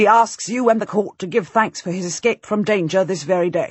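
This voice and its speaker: This is a put-on character voice, growling at a middle pitch. It moves along at a fairly quick pace. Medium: read story. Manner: formal, measured.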